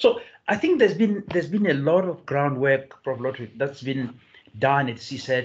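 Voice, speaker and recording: At a moderate pace, a man speaks with lively intonation in a fairly high, somewhat breathy voice. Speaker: professor and seminar chair; professor. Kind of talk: hosting an online seminar. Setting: video call. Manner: halting. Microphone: video call.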